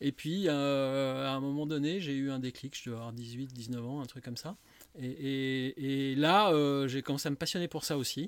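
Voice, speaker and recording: A fairly high-pitched man at a fairly slow pace, his intonation fairly even. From Lyon, France. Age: 50s. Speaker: wine shop owner. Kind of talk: casual interview. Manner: halting, many fillers.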